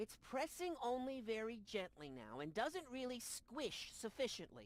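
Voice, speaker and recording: The voice is a put-on character. It sits at a fairly high pitch. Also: moderate pace. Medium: video game. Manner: dry, pedantic.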